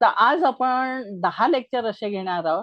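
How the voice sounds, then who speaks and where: A woman speaks. She has a plain, everyday voice. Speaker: astrologer and writer. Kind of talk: casual introduction to viewers.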